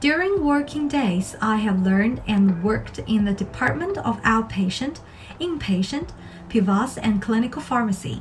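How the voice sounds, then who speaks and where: Over music in the background, a woman with a Chinese accent speaks at a moderate pace in a fairly high pitch with very wide pitch swings. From China, Shanghai. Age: 20s. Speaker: pharmacist and scholarship applicant. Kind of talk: scripted self-introduction. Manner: formal.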